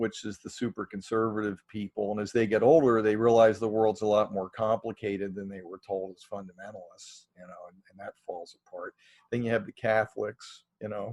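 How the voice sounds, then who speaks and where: In a dry, close sound with no echo, a man of fairly low pitch speaks at a fairly quick pace with hardly any pauses, monotone, flat intonation and big swings in loudness. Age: 60s. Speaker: presbyterian minister and chaplaincy director. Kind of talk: casual chat.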